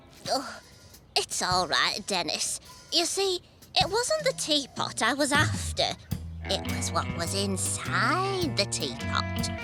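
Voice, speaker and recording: Over clear music in the background, a female-sounding cartoonish character voice speaks at a fairly slow pace. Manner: brisk, bossy.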